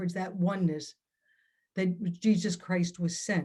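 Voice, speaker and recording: Somewhat breathy, a woman speaks at a fairly slow pace in a medium pitch. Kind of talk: talk at online event.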